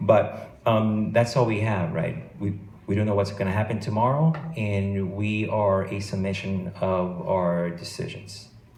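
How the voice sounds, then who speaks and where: A man with an American accent, fairly low pitch and ordinary pitch variation, at a fairly slow pace, with audible room echo. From Los Angeles, California. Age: 40s. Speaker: FBI agent. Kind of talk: motivational talk to students. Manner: hesitant, many fillers and repetitions.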